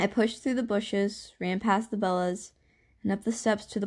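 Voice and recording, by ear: The intonation stays fairly even as someone is reading aloud in a natural voice.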